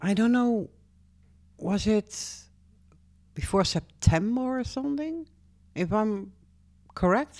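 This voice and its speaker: With a Dutch accent, a woman talks at a very slow pace. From Netherlands. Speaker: YouTuber. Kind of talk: casual vlog. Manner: halting.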